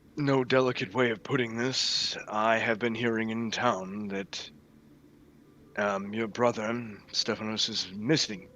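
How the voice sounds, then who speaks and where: A put-on character voice from a man, medium in pitch, fairly even in intonation and fairly slow in pace. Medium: actual play. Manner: stoic, direct.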